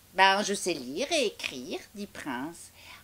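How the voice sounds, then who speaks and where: Someone performs a put-on character voice at a moderate pace. The recording is very clean, with a silent background. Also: woman, medium pitch for a woman. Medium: read story. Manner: hesitant, casual.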